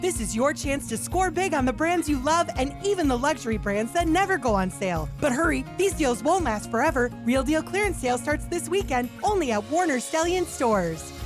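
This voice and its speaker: A woman speaks at a fairly quick pace in an upbeat tone, her loudness very even and hardly any pauses breaking it, with music playing in the background. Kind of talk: radio commercial read. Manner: upbeat, salesy.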